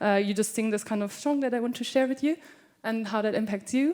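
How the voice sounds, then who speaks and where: With a German accent, a woman speaks fairly quickly in a fairly high voice with ordinary pitch variation. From Germany, Cologne. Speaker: scholarship participant, performer. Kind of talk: introducing a performance on stage. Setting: stage with audience.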